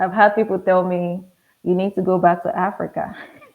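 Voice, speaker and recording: The speaker is a woman. She talks in a Nigerian accent. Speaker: pharmacist. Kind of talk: interview conversation.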